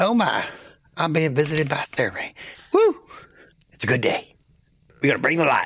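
Using a put-on character voice, a man talks in a fairly high pitch at a moderate pace, leaving long, frequent pauses. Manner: jittery, excitable.

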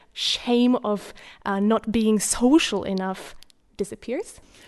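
At a fairly slow pace, a woman with a Slovak accent speaks with ordinary pitch variation against a quiet background. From Slovakia. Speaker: literature student. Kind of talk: panel discussion. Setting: studio. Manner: hesitant.

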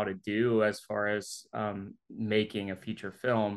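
A man with a Mississippi accent against a quiet background. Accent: Southern US (Mississippi). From Jackson, Mississippi, US South. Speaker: filmmaker and video producer. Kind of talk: interview.

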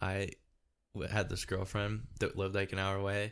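Fairly slow, fairly low speech from a man, recorded very cleanly against a silent background. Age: 20s. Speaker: podcast host. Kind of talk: casual chat.

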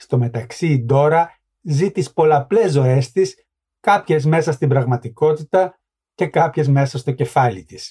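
With a dark, mellow tone and some breathiness, a man speaks fairly slowly at a fairly high pitch, using lively intonation. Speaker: author and book podcast host. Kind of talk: book review commentary, literary talk.

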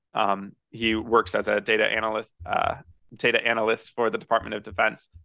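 A man with an American accent speaks at a medium pitch. Vocal fry runs through his voice. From central Missouri. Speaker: real estate investor. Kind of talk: podcast interview.

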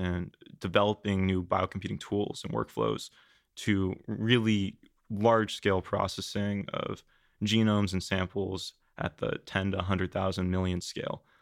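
A normal speaking voice at a fairly slow pace, with fairly even intonation. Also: man. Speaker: biotech startup founder. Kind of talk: interview.

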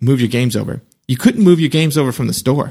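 This man has an unremarkable speaking voice. His pitch is medium, with ordinary pitch variation. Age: 30s. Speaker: podcast co-host. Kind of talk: casual chat.

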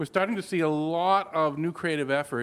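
A man with an ordinary speaking voice, ordinary pitch variation and a moderate pace, on a very clean recording with a silent background. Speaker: technology advocate and lecturer. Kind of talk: panel discussion.

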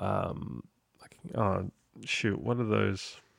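The sound is dry and close with no echo as a man speaks with an Australian accent. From Sydney, Australia. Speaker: podcast host. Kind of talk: casual interview chat.

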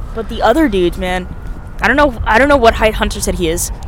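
Someone with an American accent talks at a fairly quick clip in an animated tone, with noticeable background noise and audible room echo. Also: woman. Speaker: podcast host. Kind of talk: casual chat. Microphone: too far from the mic.

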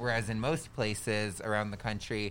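A man with an unremarkable speaking voice at a moderate pace, on a very clean recording with a silent background. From Southern California, Orange County. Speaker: election worker. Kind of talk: casual chat. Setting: studio.

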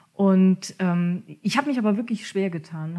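A woman speaks at a medium pitch and a moderate pace. Her tone is dark and mellow and somewhat breathy. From Germany, Kurpfalz region. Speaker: coach and mediator. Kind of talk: podcast interview.

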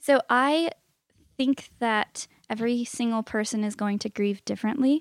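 On a very clean recording with a silent background and a dry, close sound with no echo, a woman with an unremarkable speaking voice talks fairly slowly at a fairly high pitch with ordinary pitch variation. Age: 20s. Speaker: piano teacher and life coach. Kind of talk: casual chat. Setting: home back porch.

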